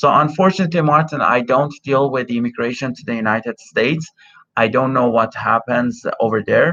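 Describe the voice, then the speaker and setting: With a Persian accent, the speaker talks at a fairly quick pace in a bright, sharp tone with ordinary pitch variation. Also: man, medium pitch for a man. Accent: Persian (Iranian) accent in English. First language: Persian (Farsi). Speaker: immigration consultant. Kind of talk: live Q&A stream. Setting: live stream over cell phone connection. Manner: many filler words (uh, um). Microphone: unreliable connection, streaming from cell phone.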